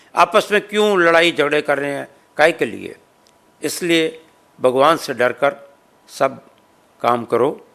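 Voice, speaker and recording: Bright and sharp in tone, a man with a fairly high pitch speaks with long, frequent pauses. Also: ordinary pitch variation. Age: 70s. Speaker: social organization president. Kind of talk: interview.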